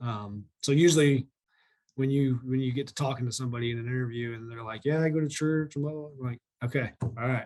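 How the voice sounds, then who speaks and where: This man talks at a very fast pace. His medium-pitched voice keeps a fairly even intonation. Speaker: equipment sales manager. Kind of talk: interview. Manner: loud.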